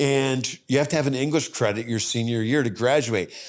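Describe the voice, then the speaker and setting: Over a silent background in a very clean recording, a man uses a normal speaking voice at a medium pitch, with ordinary pitch variation and a fairly quick pace. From upstate New York. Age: 60s. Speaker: mental math performer. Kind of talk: interview conversation.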